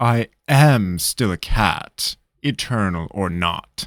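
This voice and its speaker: A man puts on a character voice, speaking very slowly at a fairly low pitch. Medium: read story. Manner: sharp, haughty.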